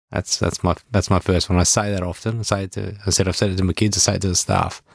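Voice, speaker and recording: A man with an Australian accent speaks at a fairly quick pace in a fairly low, flat monotone, recorded very cleanly against a silent background with a dry, close sound and no echo. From Melbourne, western suburbs, Australia. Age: 40s. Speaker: real estate business owner. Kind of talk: casual interview chat.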